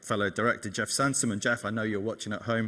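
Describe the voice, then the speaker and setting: With a Welsh accent, a man talks at medium pitch in a bright, sharp tone. The recording is very clean and the background silent. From Wales. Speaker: conference director. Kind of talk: closing speech.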